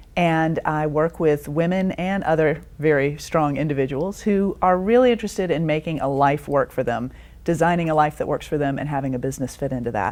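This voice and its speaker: Lively intonation at a moderate pace. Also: woman. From Georgia, US South. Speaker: business coach and author. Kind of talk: interview.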